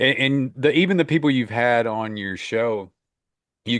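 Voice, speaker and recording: A man speaks with an American accent at a moderate pace. His medium-pitched voice has lively intonation. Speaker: author and professor. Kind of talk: casual chat.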